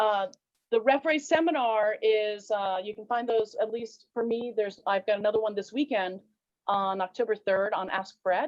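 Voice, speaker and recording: With an ordinary speaking voice, a woman talks at a moderate pace, her fairly high pitch showing ordinary pitch variation. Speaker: fencing referee and instructor. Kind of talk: interview.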